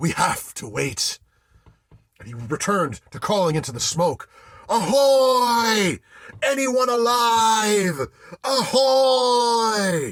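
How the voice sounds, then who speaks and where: A man puts on a character voice with an extremely high pitch, speaking at a very slow pace. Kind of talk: solo theatre ghost story monologue.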